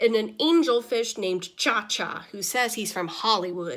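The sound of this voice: A woman speaks at a fairly slow pace in a fairly high pitch. Her tone is fairly bright and her intonation lively.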